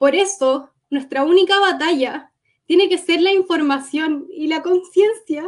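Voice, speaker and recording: A woman's extremely high voice at a fairly slow pace, with ordinary pitch variation. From Gaza Strip, Palestine; born in Cuba. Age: 20s. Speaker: war survivor. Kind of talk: testimony.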